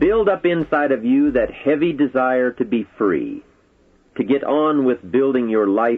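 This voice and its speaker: With lively intonation and a fairly slow pace, this is a normal speaking voice. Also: man. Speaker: motivational speaker. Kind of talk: motivational speech.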